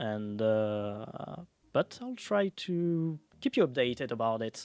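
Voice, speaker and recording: A man speaks at a very slow pace in a French accent, his intonation lively. Music plays in the background. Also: dry, close sound with no echo. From France. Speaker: streamer. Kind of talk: casual live stream talk. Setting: live stream. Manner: halting.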